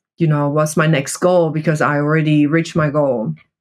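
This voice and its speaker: A woman's very deep, low voice with a non-native accent and monotone, flat intonation. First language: not English. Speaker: coffee buyer and cup tasting champion. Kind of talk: interview.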